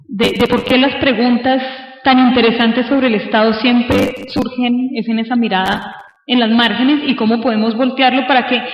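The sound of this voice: Audible room echo surrounds a woman speaking at a moderate pace with few pauses. Her fairly high voice keeps a fairly even intonation.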